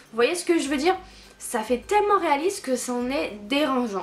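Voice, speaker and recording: A woman speaks at a fairly slow pace with an animated tone. Noticeable background noise runs behind her. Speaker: book vlogger. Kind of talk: casual book review vlog. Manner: halting, stammering.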